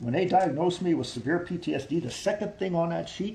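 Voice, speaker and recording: In a room with audible echo, a man with an American accent talks at a fairly quick pace with a high pitch and lively intonation. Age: 50s. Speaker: army veteran. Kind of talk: interview. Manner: repetitive, halting.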